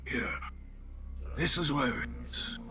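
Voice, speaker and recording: A man's put-on character voice over loud background noise. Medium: actual play. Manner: terse, broken grammar.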